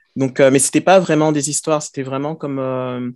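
A man's voice sounds dry and echo-free, with a quiet background behind it. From Paris, France (born in Côte d'Ivoire). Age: 30s. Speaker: science fiction author. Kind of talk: interview. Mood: calm, reflective. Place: home room. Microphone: headset.

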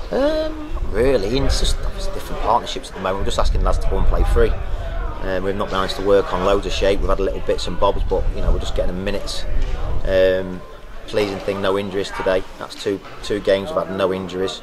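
A man talking at a very fast pace over noticeable background noise. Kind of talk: interview answer. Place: stadium.

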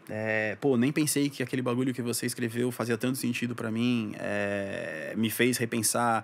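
An ordinary speaking voice at a moderate pace, with fairly even intonation and hardly any pauses, on a very clean recording with a silent background. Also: man, medium pitch for a man. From São Paulo, Brazil, then Santos coast from age 10. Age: 20s. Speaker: advertising professional. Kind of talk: casual interview chat.

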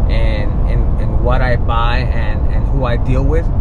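A man speaks over loud background noise. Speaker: truck vlogger. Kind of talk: casual vlog chat. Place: car. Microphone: phone near.

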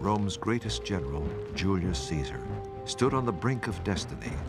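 Over music in the background, a man with a very deep, low pitch and very wide pitch swings talks at a moderate pace. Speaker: actor, documentary narrator. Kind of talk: documentary narration. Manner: authoritative.

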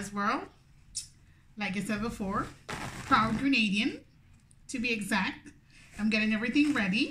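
Her tone bright and sharp, a woman talks at a moderate pace with ordinary pitch variation over light background noise. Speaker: food vlogger. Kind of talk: casual vlog chat. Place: home room. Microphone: phone near.

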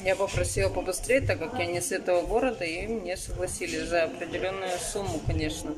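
A woman speaks at a moderate pace while noticeable background noise runs underneath. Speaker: vlogger. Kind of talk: casual vlog chat. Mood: relieved, calm.

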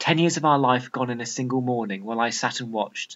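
This voice carries a British accent. Its speed is moderate. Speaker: A-level English literature teacher. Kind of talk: tutorial; dramatic reading aloud of a fictional extract, acting out the brigadier and narrator. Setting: video. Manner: clear, measured, explanatory.

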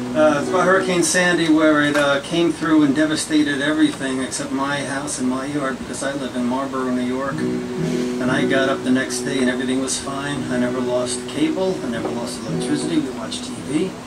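Music plays in the background as a man talks. His pace is fairly quick, with hardly any pauses. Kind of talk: stage banter before a song. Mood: joking, light-hearted. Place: cafe. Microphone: camera far.

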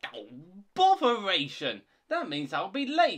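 A man's put-on character voice, high and fairly bright, very wide pitch swings, slow pace.

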